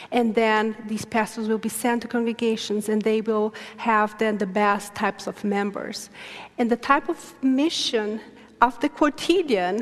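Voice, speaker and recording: A woman speaks with fairly even intonation and a fairly high pitch. Noticeable background noise runs behind her. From Brazil. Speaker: theology professor. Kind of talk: lecture Q&A.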